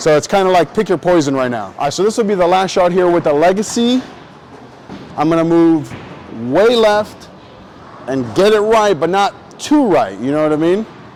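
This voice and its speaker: A man speaks at a moderate pace and high pitch, his animated tone carrying lively intonation over noticeable background noise. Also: long, frequent pauses. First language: not English. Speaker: bowling youtuber. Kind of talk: casual tutorial while bowling. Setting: bowling alley. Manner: casual, animated.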